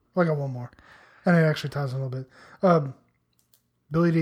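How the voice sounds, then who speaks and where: Somewhat breathy, the voice holds a fairly even intonation. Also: man. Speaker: podcast co-host. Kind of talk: casual chat. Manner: giggly.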